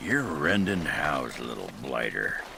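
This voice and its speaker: A raspy, put-on character voice comes through over clear background noise. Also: man, very deep, low pitch for a man, moderate pace. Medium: video game. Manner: blunt, crude.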